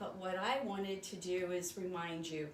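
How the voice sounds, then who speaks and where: A woman speaks at a medium pitch with audible room echo. Noticeable background noise runs behind her. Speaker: sewing machine store owner. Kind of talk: live stream sales talk.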